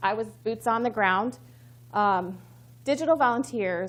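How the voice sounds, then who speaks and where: The background is silent and the recording very clean. It features a woman with an American accent. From Missouri. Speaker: communications professional, conference speaker. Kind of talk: conference talk. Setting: stage with audience. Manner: fast; excited.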